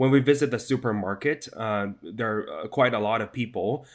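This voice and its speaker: At a moderate pace, a man with a Chinese accent speaks at medium pitch with ordinary pitch variation. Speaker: news correspondent. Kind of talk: interview. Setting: video call. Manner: hesitant, many fillers.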